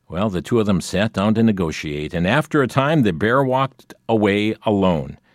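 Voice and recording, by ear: With lively intonation, the words are read aloud in a natural voice.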